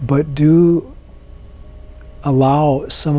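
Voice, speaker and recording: Over music in the background, a soft-spoken man talks in a calm, gentle tone with fairly even intonation. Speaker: meditation teacher. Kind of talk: guided meditation. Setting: live online meeting. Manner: calm, gentle and unhurried, with soft instructions and long pauses; soothing, inviting. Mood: calm, slow, soothing. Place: home room.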